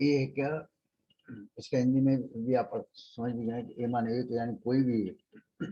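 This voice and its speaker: Speaking with a dark, mellow tone, a man keeps a medium pitch and fairly even intonation. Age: 70s. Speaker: English teacher. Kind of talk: lecture.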